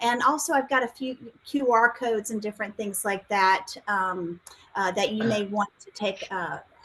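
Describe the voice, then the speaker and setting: A woman speaks with a South Carolina accent at a moderate pace, her pitch fairly high with ordinary variation. Her loudness swings widely, and there is noticeable background noise. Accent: Southern US (South Carolina). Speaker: science outreach specialist. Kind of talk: webinar presentation. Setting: video call from home.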